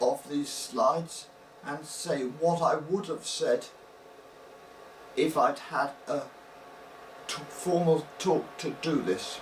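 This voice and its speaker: A man speaking at a very slow pace amid noticeable background noise. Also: ordinary pitch variation. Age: 60s. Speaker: brain injury survivor, semi-retired academic scientist. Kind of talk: personal talk to camera with slides. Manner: slow and soft-spoken; halting, pauses to think before speaking.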